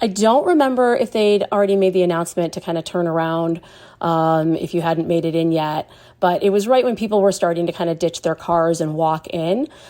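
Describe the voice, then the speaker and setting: A woman's dark, mellow tone sits at a fairly low pitch, with ordinary pitch variation and a fairly quick pace. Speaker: festival attendee sharing a memory. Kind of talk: personal anecdote. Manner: casual with many fillers.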